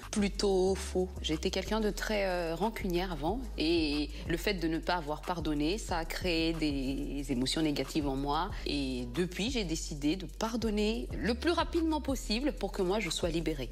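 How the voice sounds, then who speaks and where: A woman speaks at a fairly slow pace. She hardly pauses at all. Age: 30s. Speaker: artist, channel owner interviewed as panel member. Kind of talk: TV vox-pop interview.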